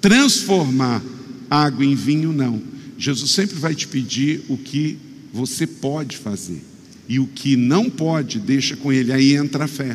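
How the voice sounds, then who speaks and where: Amid audible room echo and noticeable background noise, a man speaks fairly slowly in a fairly high pitch with ordinary pitch variation. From Rio de Janeiro state, Brazil. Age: 50s. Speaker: pastor. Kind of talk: sermon.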